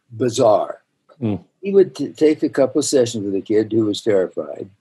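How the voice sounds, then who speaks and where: With an American accent, a man speaks in a dark, mellow tone using lively intonation. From US West, northern Utah. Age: 80s. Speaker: dentist and educator; educator. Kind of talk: interview. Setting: video call. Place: office. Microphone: webcam.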